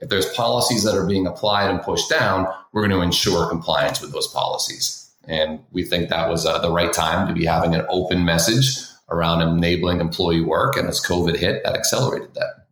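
Audible room echo surrounds a man speaking with an American accent at a fairly quick pace. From Boston, Massachusetts. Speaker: tech sales executive. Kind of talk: interview.

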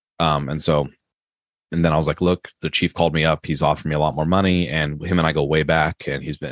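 Over a quiet background, a man with a very deep, low pitch and an American accent talks at a very fast pace in a monotone, flat intonation, with a dry, close sound and no echo. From Maryland, US East Coast. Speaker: police officer and horror author. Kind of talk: interview conversation. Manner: halting, many fillers.

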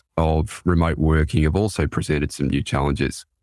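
Fairly even intonation and a moderate pace mark this voice with an Australian accent, heard on a very clean recording with a silent background. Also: man. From Australia, Sydney. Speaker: forensics leader, consultant. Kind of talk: business podcast interview, professional.

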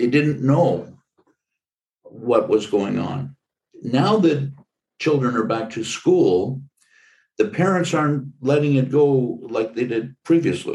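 The speech comes very slowly, with long, frequent pauses and vocal fry. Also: man, fairly high pitch for a man. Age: 70s. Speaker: podcast host. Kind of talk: interview conversation.

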